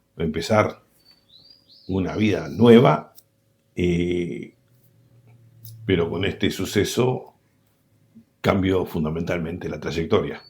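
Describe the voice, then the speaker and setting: A man with a very deep, low pitch and ordinary pitch variation speaks at a very slow pace, leaving long, frequent pauses. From Argentina, Buenos Aires province. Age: 60s. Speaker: war veteran. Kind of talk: interview. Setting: at home.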